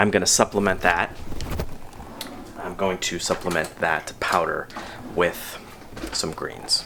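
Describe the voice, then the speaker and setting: A man with a very deep, low voice speaks at a fairly slow pace in a monotone, flat intonation over noticeable background noise. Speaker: tortoise keeper and video creator. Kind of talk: casual video diary tutorial. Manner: quiet.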